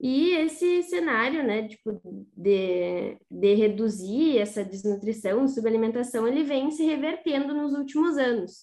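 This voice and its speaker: A woman speaks at a high pitch in a dark, mellow tone. Her intonation is lively and her pace fairly slow. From Rosário do Sul, Rio Grande do Sul, Brazil. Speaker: agronomy student co-host. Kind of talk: interview questions.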